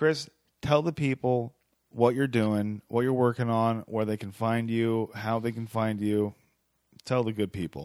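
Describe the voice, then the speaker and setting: A man at medium pitch has an ordinary speaking voice, speaking at a fairly slow pace with fairly even intonation on a very clean recording against a silent background. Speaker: podcast host. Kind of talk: casual chat. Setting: home studio.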